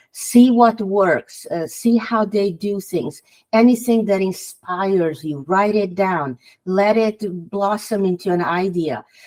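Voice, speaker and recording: With a Hungarian accent, a woman speaks at a fairly slow pace, her medium pitch showing ordinary variation. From Hungary. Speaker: author. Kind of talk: podcast interview.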